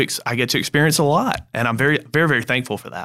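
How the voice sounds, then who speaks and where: A man with a South Carolina accent speaks in a bright, sharp tone with ordinary pitch variation. The recording is very clean, with a silent background. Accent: Southern US (South Carolina). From Greenville, South Carolina. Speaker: banker. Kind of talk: podcast interview. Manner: halting, repeats words.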